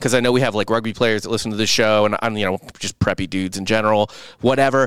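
Here a man speaks at a very fast pace in a medium pitch with ordinary pitch variation. The sound is dry and close, with no echo. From US Midwest, St. Louis. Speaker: podcast co-host. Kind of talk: casual chat; ad read.

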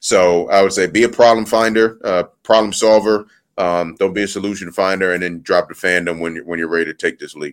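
With a plain, everyday voice, a man talks with hardly any pauses, fairly even intonation and big swings in loudness on a very clean recording with a silent background. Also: fairly low pitch for a man, fairly quick pace. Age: 20s. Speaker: college football staff member, former player. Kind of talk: interview.

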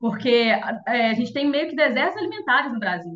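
Someone talks at a fairly quick pace with lively intonation. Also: woman. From interior of Minas Gerais, Brazil. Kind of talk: interview and casual chat.

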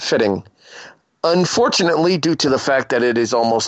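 Here is a man with a plain, everyday voice. He talks at a moderate pace, with ordinary pitch variation. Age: 30s. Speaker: podcast host. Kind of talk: casual chat.

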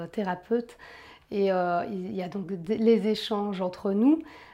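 A woman with a medium-pitched voice speaks in a dark, mellow tone with fairly even intonation. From Belgium. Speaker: massage therapist. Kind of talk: interview. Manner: hesitant, many fillers.

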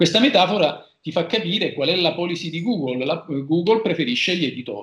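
The speaker is a man with a high pitch. He talks at a fairly quick pace with lively intonation. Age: 40s. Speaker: lawyer. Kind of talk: casual interview.

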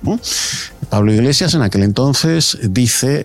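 Noticeable background noise sits under the recording. A man speaks at a medium pitch with lively intonation. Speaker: political commentator. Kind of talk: radio panel debate.

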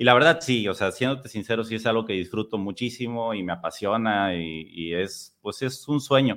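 At a moderate pace, a man talks in a medium pitch with ordinary pitch variation and an unremarkable speaking voice. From Mexico, Tampico. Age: 30s. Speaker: podcast host. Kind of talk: casual interview.

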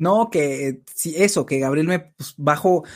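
In a very clean recording with a silent background, a man with a fairly high pitch and an unremarkable speaking voice talks with ordinary pitch variation. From Mexico City. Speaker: live-stream host, film and TV commentator. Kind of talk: casual chat. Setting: live stream.

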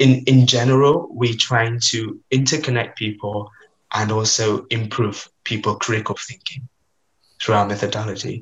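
The voice is somewhat breathy, moving at a fairly slow pace with fairly even intonation. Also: man. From Vietnam. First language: Vietnamese. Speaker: student on gap year. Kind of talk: casual interview.

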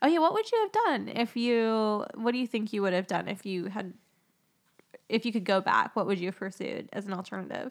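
A woman with an American accent talks at a fairly quick pace. She has a plain, everyday voice, pitched fairly high, with ordinary pitch variation. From US Southwest, Phoenix. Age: 30s. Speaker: podcast host. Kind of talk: casual chat.

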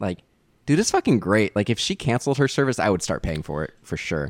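The speech runs at a very fast pace. The sound is dry and close, with no echo. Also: man. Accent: American. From US West Coast (Bay Area, California). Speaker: podcast host. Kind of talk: casual chat. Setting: video call.

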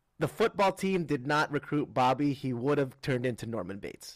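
A man's fairly high voice with lively intonation at a moderate pace, on a very clean recording with a silent background. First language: Tagalog. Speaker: comedian and podcast co-host. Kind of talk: casual chat.

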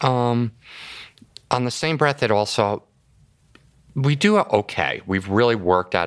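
A man talks with lively intonation. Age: 50s. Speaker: IT company owner. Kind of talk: interview.

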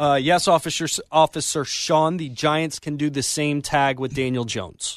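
A man with an unremarkable speaking voice talks at a moderate pace, his pitch fairly high. The background is quiet. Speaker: sports radio producer and update reader. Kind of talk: sports news update. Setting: radio studio.

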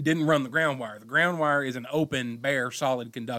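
Bright and sharp in tone, a man's fairly high voice moves at a fairly quick pace with fairly even intonation, recorded very cleanly against a silent background. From Monticello. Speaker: electrician, podcast co-host. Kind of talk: casual chat.

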